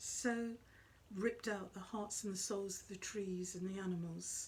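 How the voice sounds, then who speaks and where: Soft-spoken and somewhat breathy, a woman talks at a fairly slow pace. Her intonation stays fairly even. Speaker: psychic medium. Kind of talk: spiritual talk to camera.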